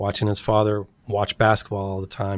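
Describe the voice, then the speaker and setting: Here a man with a Californian accent talks at a fairly quick pace in a fairly low voice. The recording is very clean and dry, with a silent background, a close sound and no echo. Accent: Californian American English. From Sacramento, California. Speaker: anthropologist and author. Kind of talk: interview.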